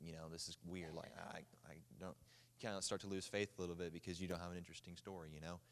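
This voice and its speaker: This man has an Oklahoma accent and a very deep, low pitch. His intonation is monotone and flat. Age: young. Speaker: baseball player. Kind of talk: testimony. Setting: church.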